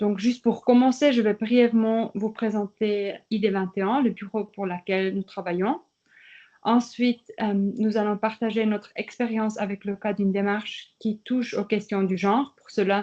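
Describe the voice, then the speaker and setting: A woman speaks at a fairly slow pace and a fairly high pitch. Her intonation is fairly even against a quiet background. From German-speaking Switzerland. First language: Swiss German (speaking French). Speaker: participation project manager. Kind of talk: workshop presentation.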